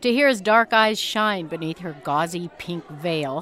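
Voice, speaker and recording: Against noticeable noise in the background, a woman keeps a moderate pace. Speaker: writer. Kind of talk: radio narration.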